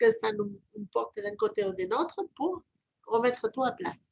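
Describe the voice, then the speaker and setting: Here a woman speaks fairly slowly in a fairly high voice. Her pitch varies in an ordinary way. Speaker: reiki practitioner and channeler. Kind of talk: casual chat.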